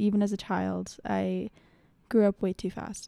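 Medium in pitch and dark, mellow in tone, a woman speaks in an American accent at a moderate pace. The sound is dry and close with no echo, in a very clean recording against a silent background. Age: 20s. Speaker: podcast host. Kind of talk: casual monologue.

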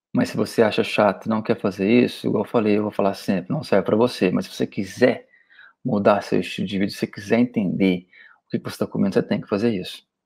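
Speech runs at a fairly quick pace with long, frequent pauses. Pitch varies in an ordinary way. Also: man. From Goiânia, Brazil. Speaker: weight-loss diet coach. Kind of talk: solo podcast monologue. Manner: animated.

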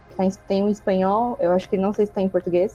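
A woman speaking at a fairly quick pace, with music in the background. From interior of São Paulo state, Brazil. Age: 20s. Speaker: biologist, community member guest. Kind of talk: casual group conversation.

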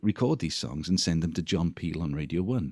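Speech from a man comes very fast. The sound stays dry and close, without echo. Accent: Welsh. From Wales. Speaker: musician. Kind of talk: interview. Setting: video call.

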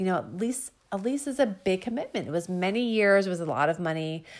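Lively intonation from a woman with an unremarkable speaking voice at medium pitch, on a very clean recording with a silent background. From Northern Virginia, US. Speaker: podcast host and small business owner. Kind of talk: casual monologue. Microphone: audio quality not always good.

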